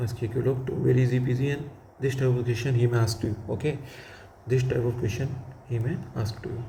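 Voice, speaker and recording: A man's medium-pitched, monotone, flat delivery at a very fast pace, with audible room echo. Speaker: physics teacher. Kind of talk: lecture.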